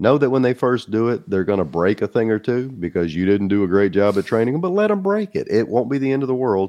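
A man's dark, mellow voice at medium pitch, very fast with hardly any pauses, lively in intonation and very even in loudness, over a quiet background. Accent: Southern US. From US South. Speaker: small business advisor and entrepreneur. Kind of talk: casual interview.

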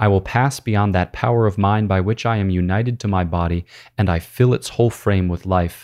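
Against a quiet background comes a normal speaking voice with ordinary pitch variation. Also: man. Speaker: priest and podcast host. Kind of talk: literary audiobook reading of Augustine, solemn and prayerful, then casual commentary. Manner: measured, reverent reading pace, meditative; conversational, explanatory, with filler words and laughs.

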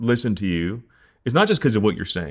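Lively intonation marks this man's very fast delivery. The recording is very clean, with a silent background. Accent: American. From US Northeast, New Jersey. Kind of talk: casual interview. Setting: cabin by a lake, livestreamed. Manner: fast talker.

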